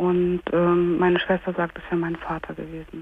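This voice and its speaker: The pace of this woman's speech is fairly slow. Light noise can be heard behind her. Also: dry sound with no echo. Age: 30s. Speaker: caller. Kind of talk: phone-in call, personal testimony. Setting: phone call. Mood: hesitant, painful personal disclosure. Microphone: phone line.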